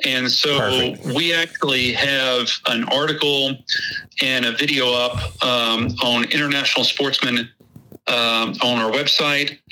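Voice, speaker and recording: There is noticeable background noise as a man with a Texas accent speaks at a fairly slow pace. His loudness is very even and his intonation fairly even. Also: medium pitch for a man. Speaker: hunting website creator, guest. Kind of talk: casual interview chat.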